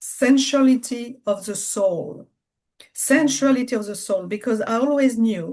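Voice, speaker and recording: A woman speaks in a French accent with lively intonation. Her pitch is fairly high. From France. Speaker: spiritual business coach. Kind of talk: interview conversation. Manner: halting.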